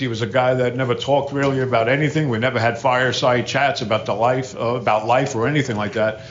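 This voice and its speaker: At a very fast pace, a man with an American accent and a medium pitch speaks with fairly even intonation over noticeable background noise and audible room echo. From New Jersey, Hudson River city across from New York. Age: 60s. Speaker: recovery speaker. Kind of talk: recovery talk to an audience. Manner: casual, conversational.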